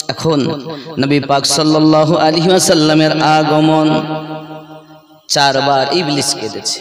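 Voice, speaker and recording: Monotone, flat intonation from a man, with audible room echo and noticeable background noise. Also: fairly high pitch for a man. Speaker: Islamic preacher. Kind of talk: sermon. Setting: religious gathering with audience.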